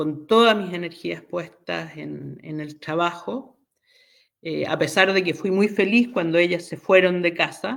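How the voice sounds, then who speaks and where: On a very clean recording with a silent background, a woman with a fairly low pitch and vocal fry speaks at a fairly slow pace, showing ordinary pitch variation and big swings in loudness. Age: 60s. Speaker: astrologer and tarot reader. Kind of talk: interview, personal story. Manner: hesitant, many fillers.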